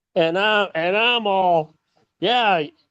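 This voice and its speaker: Here a man speaks at a high pitch. His pitch moves with ordinary variation. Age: 60s. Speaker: podcast guest, host's father. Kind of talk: casual chat. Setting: video call. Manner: animated. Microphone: phone.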